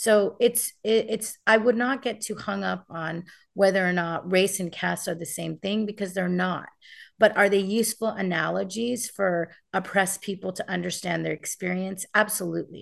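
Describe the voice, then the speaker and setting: Against a quiet background, a woman speaks at a moderate pace with vocal fry and fairly even intonation. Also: medium pitch for a woman. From United States. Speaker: activist and author. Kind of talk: interview.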